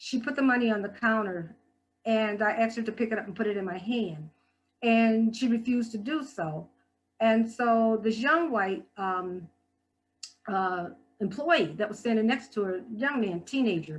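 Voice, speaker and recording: With music in the background, a woman speaks at a fairly high pitch with ordinary pitch variation. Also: moderate pace. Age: 60s. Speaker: guest speaker and health department worker. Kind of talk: talk at a church service. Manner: halting with frequent fillers and repetitions.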